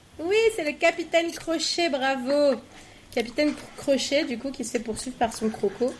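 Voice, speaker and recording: Amid noticeable background noise, a woman speaks at a high pitch and a fairly slow pace. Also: ordinary pitch variation. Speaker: podcast quiz host. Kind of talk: reading quiz questions.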